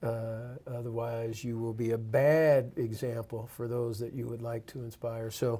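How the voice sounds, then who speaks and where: A man's somewhat breathy voice with a dark, mellow tone, medium pitch and monotone, flat intonation. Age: 60s. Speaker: university athletic director. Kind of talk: interview. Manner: hesitant with frequent fillers.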